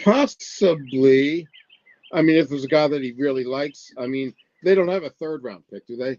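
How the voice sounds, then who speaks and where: Speaking at a moderate pace with big swings in loudness, a man with a fairly high pitch sounds dry and close, with no echo. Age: 60s. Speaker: sports columnist. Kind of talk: casual chat.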